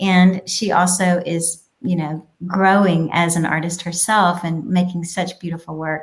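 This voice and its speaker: A woman speaks fairly slowly at a fairly low pitch, somewhat breathy. Her intonation is monotone and flat, with hardly any pauses. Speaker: childcare business owner. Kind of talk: casual interview. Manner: quiet.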